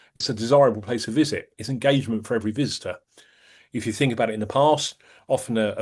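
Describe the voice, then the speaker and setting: This is a man at a medium pitch with ordinary pitch variation. The background is quiet. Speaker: retail experience industry expert. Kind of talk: webinar presentation.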